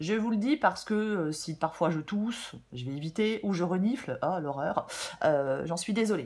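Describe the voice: A woman speaks at a moderate pace with a fairly low pitch and lively intonation. Her tone is slightly mellow, with a slightly husky edge.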